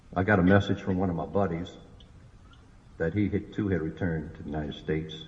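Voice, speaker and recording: Somewhat breathy and very deep in pitch, a man talks at a very fast pace with ordinary pitch variation. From New Orleans, Louisiana. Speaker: war veteran. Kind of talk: public speech.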